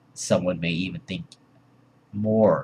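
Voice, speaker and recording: A man speaks with vocal fry. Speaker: vlogger. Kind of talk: personal vlog monologue. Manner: hesitant, many fillers.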